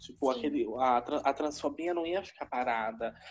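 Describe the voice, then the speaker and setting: With music in the background, a woman speaks at a fairly slow pace. Her voice is very deep and low. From São Paulo city (Itaquera). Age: 20s. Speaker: university student and drag artist. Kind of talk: interview.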